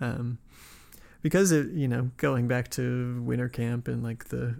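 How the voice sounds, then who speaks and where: An unremarkable speaking voice from a man with an American accent, medium in pitch, at a moderate pace, in a very clean recording with a silent background. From US West (Nevada, then California). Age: 20s. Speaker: podcast host. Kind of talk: scripted narration; casual interview conversation.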